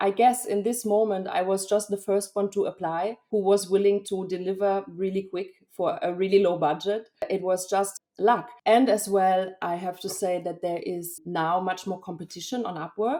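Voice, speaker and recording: With a German accent, a woman talks at a moderate pace and medium pitch, her tone dark and mellow, her intonation fairly even, with hardly any pauses. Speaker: freelance linguist and graphic designer. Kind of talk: podcast interview. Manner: hesitant, with fillers.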